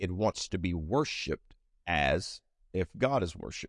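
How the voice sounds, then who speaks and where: A man with an unremarkable speaking voice, lively intonation and a moderate pace, in a dry, close sound with no echo and a quiet background. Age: 40s. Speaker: pastor. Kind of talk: bible study teaching. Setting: church with live audience and stream.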